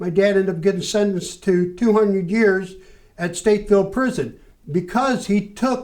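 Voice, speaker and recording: The intonation stays fairly even. The speaker has an American accent. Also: man. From Chicago. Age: 60s. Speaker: former activist. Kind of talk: interview.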